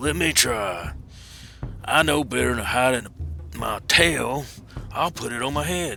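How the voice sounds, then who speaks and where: Over clear music in the background, a man does a raspy put-on character voice at a medium pitch and a moderate pace, with very wide pitch swings and long, frequent pauses. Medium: solo performance.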